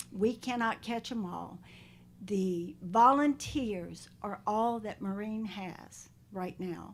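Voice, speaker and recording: A woman in a North Carolina accent, medium-pitched with ordinary pitch variation, at a very slow pace. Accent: Southern US (North Carolina). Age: 70s. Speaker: animal shelter volunteer, public commenter. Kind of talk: public comment at county board meeting. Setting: county board meeting room. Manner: pleading, heartfelt.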